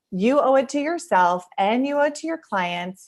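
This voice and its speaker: A woman with an American accent and lively intonation. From Seattle area. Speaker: photographer presenter. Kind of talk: webinar presentation and Q&A. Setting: home office studio over video. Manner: fast.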